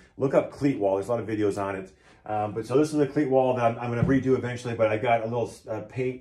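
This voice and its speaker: Noticeable background noise sits under a man talking at a very fast pace. His medium-pitched voice has ordinary pitch variation. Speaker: woodworker and small business owner. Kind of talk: casual shop tour walkthrough. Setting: wood shop. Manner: casual, many fillers and restarts.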